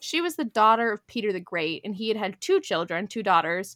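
A woman with an unremarkable speaking voice and lively intonation. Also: dry, close sound with no echo. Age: 20s. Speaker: podcast host. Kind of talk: casual chat. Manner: casual with frequent fillers.

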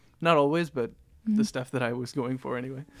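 Speaking in a Canadian accent, a man uses an ordinary speaking voice at medium pitch, a fairly quick pace and ordinary pitch variation, on a very clean recording with a silent background. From Canada, Toronto. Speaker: jazz musician. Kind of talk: casual chat.

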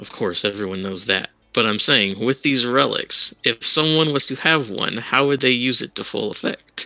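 A man speaks at a medium pitch and a moderate pace, with ordinary pitch variation, big swings in loudness and hardly any pauses. The sound is dry and close, with no echo. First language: not English. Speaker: tabletop game player. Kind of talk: tabletop roleplay chat.

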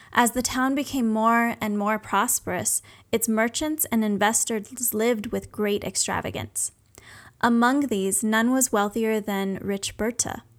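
On a very clean recording with a silent background, an ordinary speaking voice moves at a fairly slow pace with fairly even intonation. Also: woman, fairly high pitch for a woman. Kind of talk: scripted fairy-tale narration. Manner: measured, storytelling cadence.

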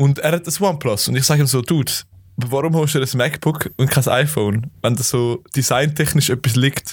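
Somewhat breathy and fairly high-pitched, a man talks at a fairly quick pace with ordinary pitch variation on a very clean recording with a silent background. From Switzerland, Zurich area (Kloten). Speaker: podcast co-host. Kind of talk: casual chat.

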